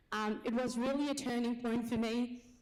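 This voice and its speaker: A woman talks at a moderate pace in a fairly high, monotone voice with flat intonation, with audible room echo around her. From Nepal. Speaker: business owner and nurse. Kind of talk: conference speech.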